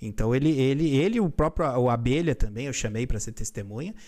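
On a very clean recording with a silent background, a man's speech moves at a moderate pace. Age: 30s. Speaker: lawyer. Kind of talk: react video self-defense statement. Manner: halting, many fillers.

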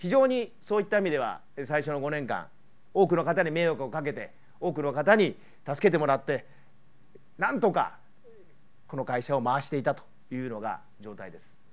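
A man's fairly high voice at a moderate pace, with lively intonation, big swings in loudness and long, frequent pauses. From Japan, Kyoto; Japan. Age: 50s. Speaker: politician and former pro triathlete; politician. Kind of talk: public speech. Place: hall. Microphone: lapel.

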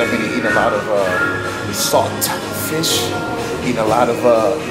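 A man talks at a fairly quick pace while loud music plays in the background. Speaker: fitness vlogger. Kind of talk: casual vlog chat. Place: gym. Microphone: phone near.

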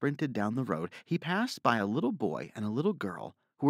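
Natural-sounding reading aloud plays over a quiet background.

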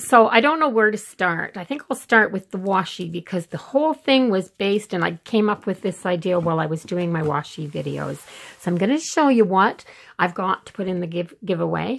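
Her intonation is lively. The woman speaks at a fairly quick pace. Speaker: planner vlogger. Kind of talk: casual show-and-tell tutorial. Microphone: phone near.

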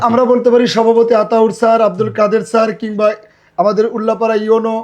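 A man with a high pitch, monotone, flat intonation, and very even loudness. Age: old. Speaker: local activist and teacher. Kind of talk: interview.

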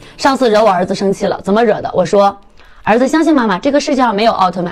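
Faint music plays behind a woman speaking. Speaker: cake decorating livestreamer. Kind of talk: casual livestream chat. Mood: playful, humorous. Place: studio. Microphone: phone near.

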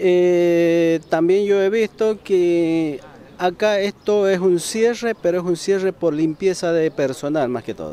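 A man with a high-pitched voice speaks at a very slow pace with ordinary pitch variation, over noticeable background noise. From eastern Mendoza, Argentina. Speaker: factory machine operator. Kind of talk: street interview. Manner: halting.

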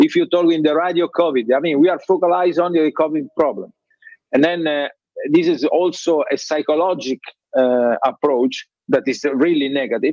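In an Italian accent, the speaker goes at a moderate pace with ordinary pitch variation, the sound dry with no echo and the background quiet. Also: man, fairly high pitch for a man. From Italy. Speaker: trade fair president; remote conference panelist. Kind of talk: panel discussion. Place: office. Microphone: video call.

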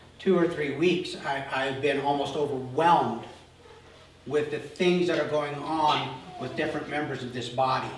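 Recorded with audible room echo and light background noise, a man talks at a moderate pace with fairly even intonation. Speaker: pastor. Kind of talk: sermon. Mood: earnest, serious. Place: church.

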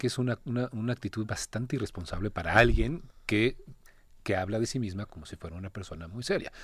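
Speaking at a very fast pace, a man with a medium-pitched, somewhat breathy voice uses lively intonation and big swings in loudness on a very clean recording with a silent background. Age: 30s. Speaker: actor. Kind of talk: interview.

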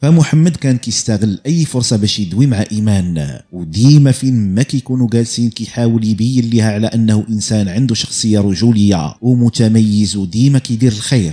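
A man with a Moroccan accent speaks at a moderate pace and medium pitch, with a dark, mellow tone and ordinary pitch variation. His loudness stays very even and there are hardly any pauses. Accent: Moroccan Arabic (Darija). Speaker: true crime storyteller. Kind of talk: storytelling narration.

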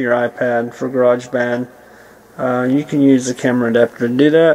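The pace is moderate as a man speaks. He keeps his intonation fairly even. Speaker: person demonstrating a gadget. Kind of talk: tutorial. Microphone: phone near.

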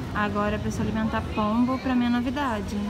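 A woman speaks at a moderate pace through loud background noise. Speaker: travel vlogger, journalist. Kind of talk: casual travel vlog talk to camera. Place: street. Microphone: phone near.

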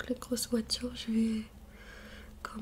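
Soft-spoken and fairly high-pitched, a woman talks in a monotone, flat way over light background noise. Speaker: ASMR youtuber. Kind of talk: ASMR skincare tutorial. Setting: bedroom near the street. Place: home room. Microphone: studio mic.

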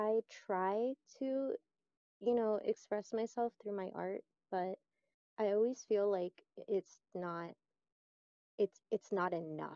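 A woman at a fairly slow pace, with ordinary pitch variation, in a dry sound with no echo over a quiet background. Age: 20s. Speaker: interview guest with schizoid personality disorder. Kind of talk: interview. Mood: reflective, introspective. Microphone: video call.

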